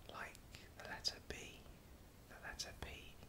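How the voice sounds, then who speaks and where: Noticeable background noise is present. The delivery keeps a fairly slow pace. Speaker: sign language teacher. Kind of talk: soft-spoken instructional talk about sign language. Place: home room.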